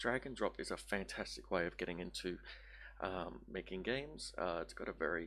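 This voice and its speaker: This voice has a bright, sharp tone, vocal fry, very wide pitch swings and a fairly quick pace. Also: man, very deep, low pitch for a man. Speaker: game developer streamer. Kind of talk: tutorial. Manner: halting.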